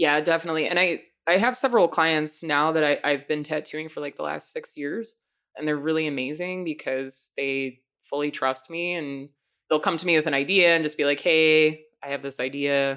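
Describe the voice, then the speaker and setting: A woman with an American accent talks at a moderate pace in a very deep, low voice, on a very clean recording with a silent background. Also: ordinary pitch variation. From Long Island, New York. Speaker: tattoo artist. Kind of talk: interview.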